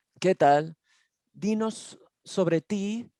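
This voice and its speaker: This woman has a dark, mellow tone and lively intonation. The sound is dry and close with no echo, and the background is quiet. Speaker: caregiver and panel moderator. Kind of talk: panel discussion. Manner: informal.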